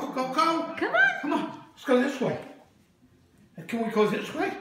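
A man talks fairly slowly, with audible room echo and noticeable background noise around him. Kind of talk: coaxing talk to a baby. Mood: playful, encouraging. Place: home room. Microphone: phone near.

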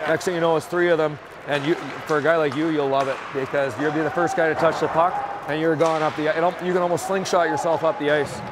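Against loud background noise, a man talks at a very fast pace, the sound dry with no echo. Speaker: hockey assistant coach. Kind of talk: coaching instruction. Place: stadium. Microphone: lapel.

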